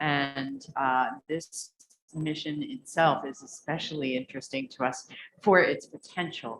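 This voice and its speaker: A woman with an American accent, very deep and low in pitch, at a fairly slow pace. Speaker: government energy official. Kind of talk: panel discussion.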